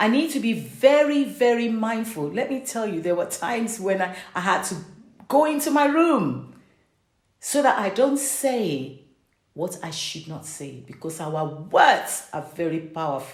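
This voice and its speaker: A woman with a fairly high pitch and vocal fry speaks at a fairly slow pace, her pitch swinging very widely and her loudness rising and falling sharply. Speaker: parent and faith-based vlogger. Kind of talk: reflective sermon-style talk to camera.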